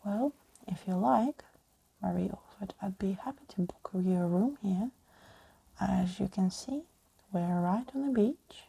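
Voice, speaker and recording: Somewhat breathy and dark, mellow in tone, a woman speaks at medium pitch with lively intonation and long, frequent pauses, the sound dry and close with no echo. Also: fairly slow pace. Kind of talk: ASMR audiobook reading of a scary story. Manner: soft-spoken, relaxing.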